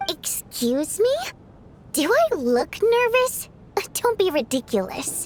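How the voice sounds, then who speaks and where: A woman's put-on character voice at an extremely high pitch, fairly slow with long, frequent pauses and very wide pitch swings, over clear background noise. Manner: defensive, indignant.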